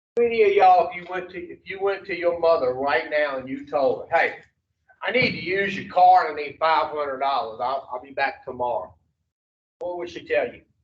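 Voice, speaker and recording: Speaking at a fairly quick pace in a Louisiana accent, the man has a high pitch and big swings in loudness. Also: ordinary pitch variation. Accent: Louisiana Southern. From US South, Baton Rouge, Louisiana. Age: 60s. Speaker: addiction recovery counselor. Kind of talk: recovery education talk to treatment group. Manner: animated.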